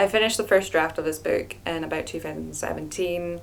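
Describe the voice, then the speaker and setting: Over noticeable background noise and audible room echo, a woman talks with a Scottish accent. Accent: Scottish, often mistaken for Irish. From Scotland. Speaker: novelist, video blogger. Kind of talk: casual vlog talk. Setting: at home by fireplace. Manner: hesitant, with fillers.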